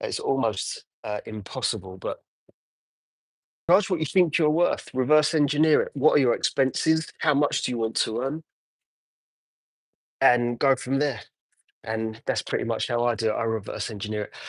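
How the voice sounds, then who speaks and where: A man with an English accent speaks at a moderate pace, leaving long, frequent pauses against a quiet background. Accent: English accent, noticeable. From Essex, England. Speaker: car detailer. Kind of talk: live stream chat while working. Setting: detailing unit, livestream. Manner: casual, hesitant with fillers.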